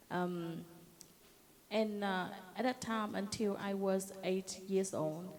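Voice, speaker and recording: A woman talks very slowly at medium pitch with long, frequent pauses. Her intonation stays fairly even. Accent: Vietnamese. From southern Vietnam, Binh Thuan. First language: Vietnamese. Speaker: Agent Orange survivor and advocate. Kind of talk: personal testimony. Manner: halting.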